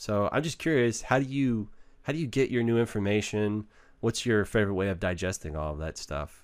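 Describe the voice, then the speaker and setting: A man with an American accent talks at a fairly quick pace in a fairly low pitch, his intonation lively. The recording is very clean with a silent background. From Texas, Waco. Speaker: podcast host. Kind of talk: casual interview chat. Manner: animated, laughs often.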